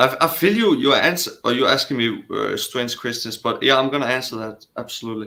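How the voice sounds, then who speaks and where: A man with a Danish accent, talking at a fairly quick pace with hardly any pauses. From Denmark. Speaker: caller. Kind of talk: call-in debate. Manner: halting.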